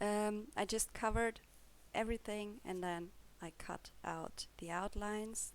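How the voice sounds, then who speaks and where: A woman speaks with a German accent. Her pace is fairly slow. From Germany. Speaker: coloring hobbyist YouTuber. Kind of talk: casual show-and-tell video. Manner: hesitant, with fillers.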